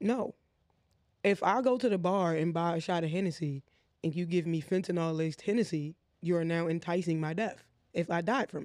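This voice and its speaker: On a very clean recording with a silent background, a man speaks at a fairly quick pace and high pitch, with an animated tone and ordinary pitch variation. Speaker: podcast co-host. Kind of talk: casual banter podcast. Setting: studio couch. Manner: animated, joking.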